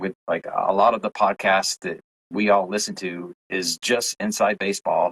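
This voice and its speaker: Recorded in a dry, close sound with no echo, a man talks with a Southern US accent. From Tennessee. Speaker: UFO content creator. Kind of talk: podcast interview.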